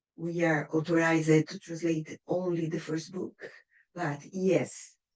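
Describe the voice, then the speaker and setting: A woman with a Brazilian accent speaks at a fairly slow pace. Her fairly low voice keeps a monotone, flat intonation. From Brazil, Curitiba. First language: Portuguese. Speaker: writer and poet. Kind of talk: reading aloud a prepared speech. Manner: rehearsed, careful.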